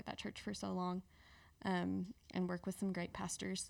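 Woman with a Mississippi accent at a moderate pace. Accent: Southern US (Mississippi). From US South, South Mississippi (Petal, near Hattiesburg). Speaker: seminary student, former church intern. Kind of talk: casual interview. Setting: studio.

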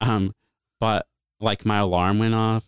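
In a monotone, flat delivery, a man with an American accent is heard with a dry, close sound with no echo on a very clean recording with a silent background. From US Midwest, Bloomington, Illinois. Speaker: college student affairs director. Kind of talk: casual interview. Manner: hesitant, many fillers.

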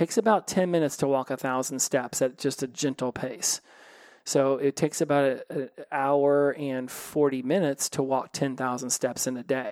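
At a moderate pace, a man talks with a slightly mellow tone and fairly even intonation. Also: medium pitch for a man.

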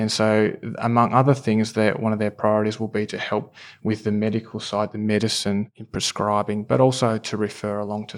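A man speaks with an Australian accent at a fairly low pitch, in a monotone, flat intonation. His pace is moderate, and the recording is very clean with a silent background. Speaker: physiotherapist. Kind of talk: panel discussion. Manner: hesitant, filler-heavy.

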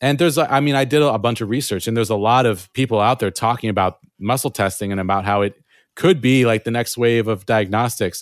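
A man speaks at a very fast pace with medium pitch. The recording is very clean, with a silent background. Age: 30s. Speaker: podcast creator with chronic illness. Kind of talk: casual interview chat.

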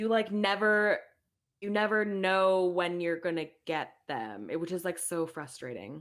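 A woman's normal speaking voice, fairly low in pitch with ordinary variation, at a fairly slow pace in a very clean recording with a silent background. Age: 20s. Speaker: podcast guest, gamer. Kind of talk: casual chat.

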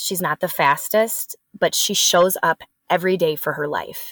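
In an American accent, the speaker goes at a fairly slow pace. The sound is dry and close, with no echo. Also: woman. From US Midwest, Wisconsin (Wauwatosa). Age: 40s. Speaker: children's book author. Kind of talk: interview. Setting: at home. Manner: animated.

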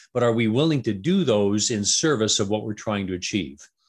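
The recording is very clean, with a silent background. A man speaks at a moderate pace in a western Canadian accent. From Canada, Vancouver. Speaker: strategy consultant and author. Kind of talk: interview.

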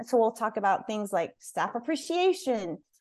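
A woman is speaking. The background is quiet. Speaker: event co-chair. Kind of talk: casual interview chat.

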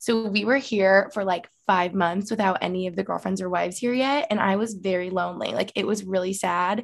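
Talking at a fairly quick pace with hardly any pauses, a woman with an American accent has a plain, everyday voice, medium pitch, and ordinary pitch variation. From Albany, New York. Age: 20s. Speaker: hockey player's girlfriend and YouTuber. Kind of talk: casual interview chat.

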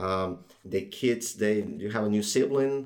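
A man with a Spanish accent speaks in a fairly low voice. He keeps a moderate pace and fairly even intonation. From Costa Rica. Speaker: Spanish teacher and soccer coach. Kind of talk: casual interview. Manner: halting, repetitive.

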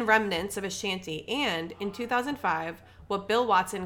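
The voice reads aloud in an unforced way.

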